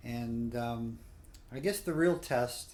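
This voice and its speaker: The speech comes at a very slow pace, and room echo is audible. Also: man. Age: 60s. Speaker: cruise reviewer. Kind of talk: spoken review. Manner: halting, many fillers.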